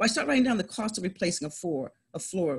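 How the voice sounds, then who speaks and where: A woman speaks with a fairly high pitch and a somewhat breathy quality. Her pitch swings very widely. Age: 50s. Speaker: real estate investor. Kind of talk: interview. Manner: animated.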